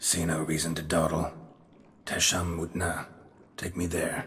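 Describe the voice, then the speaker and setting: A raspy, put-on character voice speaks at a moderate pace in a monotone, flat delivery. A clear echo surrounds it. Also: man, very deep, low pitch for a man. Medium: video game. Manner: terse, clipped, dry.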